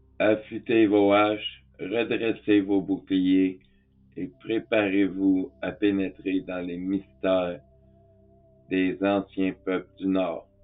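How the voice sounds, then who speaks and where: With music in the background, a man speaks at a very slow pace in a fairly low pitch, his intonation monotone and flat. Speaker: spiritual teacher. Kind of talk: tutorial. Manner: calm.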